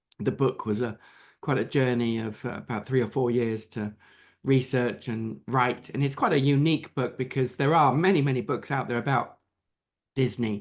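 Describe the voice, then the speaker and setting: With an English accent, a man talks at a moderate pace against a quiet background. His pitch is medium, with ordinary variation. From England. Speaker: author and Disney business expert. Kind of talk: interview. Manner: hesitant with many fillers.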